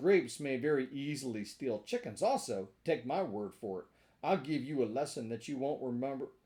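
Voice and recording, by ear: Someone is heard reading aloud in a natural voice.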